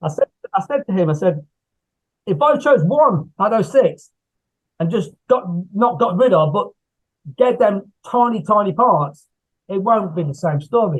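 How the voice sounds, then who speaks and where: Lively intonation in an English Midlands accent, at a moderate pace with long, frequent pauses. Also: man, high pitch for a man. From England, Coventry area. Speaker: horror author and screenwriter. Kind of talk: casual interview chat. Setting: video call. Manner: repetitive, halting.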